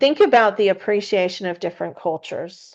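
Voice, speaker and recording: A woman speaks with a Kentucky accent at a moderate pace. The background is quiet. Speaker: spiritual podcast host. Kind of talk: casual spiritual teaching. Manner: halting, many fillers.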